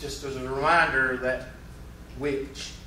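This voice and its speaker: Speaking at a fairly slow pace in a Southern US accent, a man is heard with audible room echo and noticeable background noise. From US South. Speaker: math teacher. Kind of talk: classroom anecdote; lecture. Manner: casual.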